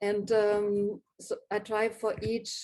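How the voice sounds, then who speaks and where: Her tone is dark and mellow, set at a medium pitch. This woman speaks with a non-native accent. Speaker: graphic designer. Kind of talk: live talk presenting own work. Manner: hesitant, many fillers.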